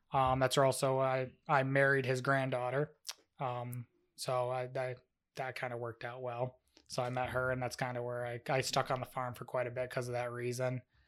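A man speaks with an upstate New York accent at a moderate pace. His medium-pitched voice is monotone and flat. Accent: upstate New York American. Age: 20s. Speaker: dairy farmer and milk tester. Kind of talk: casual chat.

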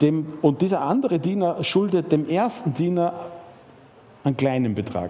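An animated male voice with lively intonation at a moderate pace, plus noticeable background noise. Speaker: preacher. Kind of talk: sermon. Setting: church. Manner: animated, storytelling with rhetorical questions and emphasis; conversational, with fillers and repetitions.

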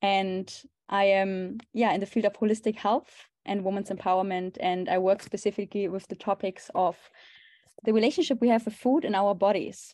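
In a German accent, a woman with a dark, mellow tone speaks with fairly even intonation against a quiet background. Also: medium pitch for a woman, moderate pace. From Germany. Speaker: holistic health coach. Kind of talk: interview conversation.

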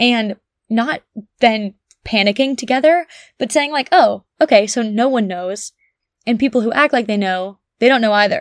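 A woman talks at a moderate pace in an American accent. She leaves long, frequent pauses. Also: fairly high pitch for a woman, ordinary pitch variation, dry, close sound with no echo. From US Northeast, New Jersey (Bergen County). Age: 20s. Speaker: podcast host, college athlete. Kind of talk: solo casual monologue. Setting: childhood bedroom at home.

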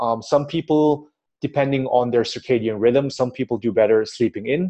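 At a fairly quick pace, a man talks in a plain, everyday voice with medium pitch and ordinary pitch variation. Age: 30s. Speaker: fitness entrepreneur and personal trainer. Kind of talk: interview.

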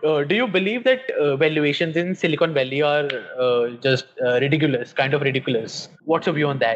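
An Indian accent with ordinary pitch variation, over noticeable background noise. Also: man, fairly high pitch for a man, fairly quick pace, very even loudness. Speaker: podcast host. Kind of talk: interview.

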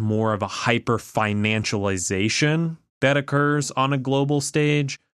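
On a very clean recording with a silent background, a man with a normal speaking voice and ordinary pitch variation sounds dry and close, with no echo. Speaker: podcast co-host. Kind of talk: casual political discussion.

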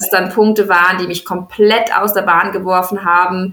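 At a moderate pace, a woman with a fairly low voice speaks in a monotone, flat intonation. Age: 20s. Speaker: founder of a natural cosmetics company. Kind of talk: interview. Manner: hesitant with frequent fillers.

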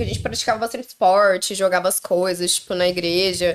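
A woman talks at a fairly quick pace and a medium pitch. She has an ordinary speaking voice. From southern Brazil, Londrina (Paraná). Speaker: podcast guest. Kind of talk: casual chat. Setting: live stream.

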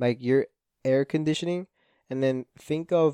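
Speaking at a fairly slow pace with a Spanish accent, a man has a medium pitch, a dark, mellow tone and fairly even intonation. The sound is dry and close with no echo against a quiet background. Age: 20s. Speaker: podcast host. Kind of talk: casual monologue. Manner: rambling, stumbling over words.

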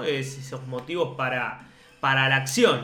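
A fairly high-pitched man at a moderate pace, with noticeable background noise and audible room echo. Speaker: podcast co-host. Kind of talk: casual chat.

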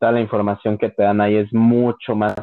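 A man talks at a moderate pace in a fairly low pitch, his intonation flat and monotone. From Mexico, León, Guanajuato. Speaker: podcast host. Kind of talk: casual chat.

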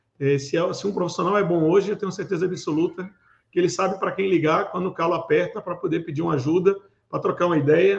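A man speaks at a fairly quick pace with a high pitch. His pitch variation is ordinary. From Recife, Pernambuco, Brazil. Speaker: cybersecurity manager and event organizer. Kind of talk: interview. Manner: hesitant with fillers.

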